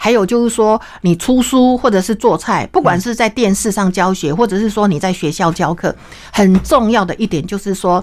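Speaking with a Taiwanese accent, a woman uses an animated tone at a medium pitch, a moderate pace and ordinary pitch variation. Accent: Taiwanese Mandarin. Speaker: cooking teacher and cookbook author. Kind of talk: interview.

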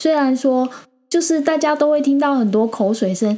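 Pitch variation is ordinary, and the pace of the speech is moderate. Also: woman. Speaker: crypto podcast host. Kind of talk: casual chat.

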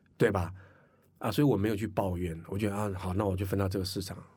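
Amid audible room echo, a man with a fairly low pitch speaks in a somewhat breathy voice with monotone, flat intonation. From Taiwan, Hakka. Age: 50s. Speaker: entrepreneur and finance course teacher. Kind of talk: interview. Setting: studio.

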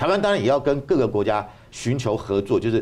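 A man at medium pitch swings his pitch very widely, with vocal fry in his voice. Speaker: university professor and political commentator. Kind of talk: political talk show discussion. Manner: hesitant, with frequent fillers.

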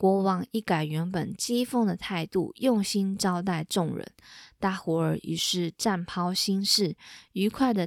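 The speaker is reading aloud in a natural voice. The pitch shows ordinary pitch variation.

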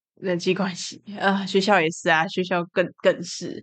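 An unremarkable speaking voice from a woman at medium pitch, moderate pace and a quiet background. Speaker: podcast host with depression. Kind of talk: casual monologue.

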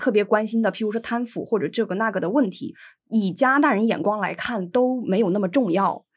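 In a very clean recording with a silent background, a woman with a northeastern Chinese accent speaks at a fairly quick pace, with a fairly high pitch and ordinary pitch variation. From Inner Mongolia, northern China. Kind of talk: casual interview chat.

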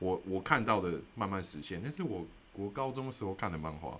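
Audible room echo follows a man who speaks at a fairly low pitch and a moderate pace with lively intonation. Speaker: podcast host. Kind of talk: solo explainer talk. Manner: casual, many filler words.

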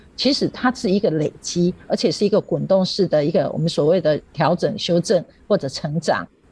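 A woman talks with lively intonation in a fairly low pitch. Her voice is somewhat breathy. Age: 50s. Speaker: primary school teacher. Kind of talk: radio interview.

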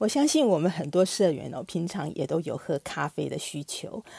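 A woman with a fairly low pitch talks at a moderate pace, her intonation lively and touched with vocal fry. The recording is very clean, with a silent background. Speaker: podcast host for a consumer cooperative. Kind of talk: interview.

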